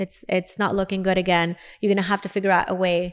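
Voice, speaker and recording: A woman with an Arabic accent, medium pitch and a fairly quick pace, on a very clean recording with a silent background. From Lebanon, Beirut. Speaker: dentist and speaker. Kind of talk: interview storytelling.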